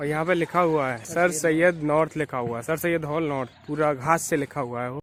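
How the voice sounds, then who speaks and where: With an ordinary speaking voice, a man talks at a moderate pace and a fairly high pitch, keeping fairly even intonation and hardly any pauses. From Aligarh, western Uttar Pradesh, India. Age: 20s. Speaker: vlogger. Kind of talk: casual hostel tour vlog talk to camera.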